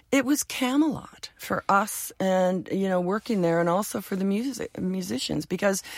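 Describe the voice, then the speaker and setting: A woman with a Canadian accent speaks at a moderate pace, her medium pitch swinging very widely. The sound is dry and close with no echo, and the recording is very clean with a silent background. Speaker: music TV and record industry veteran. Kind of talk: casual interview.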